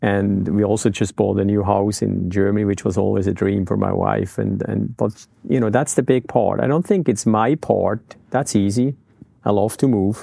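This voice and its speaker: A man speaks at a moderate pace in a fairly low pitch, his tone dark and mellow with vocal fry and ordinary pitch variation. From Switzerland. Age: 50s. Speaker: skydiving business owner. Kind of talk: interview.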